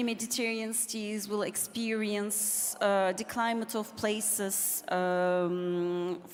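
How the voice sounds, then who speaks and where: The speaker goes at a very slow pace with ordinary pitch variation. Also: woman. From Turkey. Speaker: architect and academic. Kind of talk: panel discussion.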